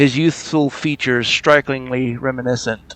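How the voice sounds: A voice reads naturally. Intonation is kept fairly even.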